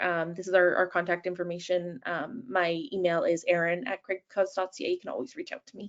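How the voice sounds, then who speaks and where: A woman's medium-pitched voice with a Canadian accent. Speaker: nurse and patient support manager, webinar presenter. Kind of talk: webinar presentation. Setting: online webinar. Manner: fast; hesitant, many fillers.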